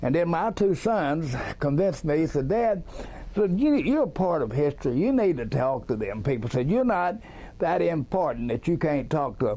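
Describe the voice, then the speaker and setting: A man with a Texas accent talks at a moderate pace in a fairly high pitch, with very wide pitch swings and very even loudness. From Texas, Dallas. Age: 70s. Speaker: eyewitness. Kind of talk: interview.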